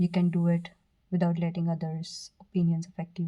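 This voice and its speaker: Somewhat breathy, a woman speaks at a moderate pace with a fairly low pitch and a dark, mellow tone. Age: 20s. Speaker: tarot reader. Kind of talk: tarot reading to camera. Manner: stuttering at times.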